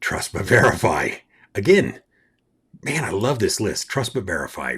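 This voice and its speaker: A man speaks at a moderate pace with vocal fry. His tone is animated. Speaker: Wi-Fi network engineer and podcast host. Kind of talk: casual solo podcast talk. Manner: loud.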